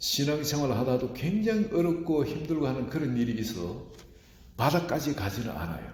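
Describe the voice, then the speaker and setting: Amid audible room echo, a man of medium pitch speaks at a moderate pace with very wide pitch swings. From rural South Korea. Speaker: pastor. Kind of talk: sermon.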